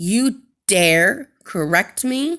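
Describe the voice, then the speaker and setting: In a very clean recording with a silent background, a woman puts on a growling character voice at a medium pitch. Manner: growling, indignant.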